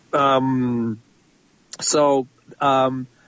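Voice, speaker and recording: Here is a man with a fairly high voice. He speaks with a Spanish accent. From Spain. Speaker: film composer. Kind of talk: interview. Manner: halting.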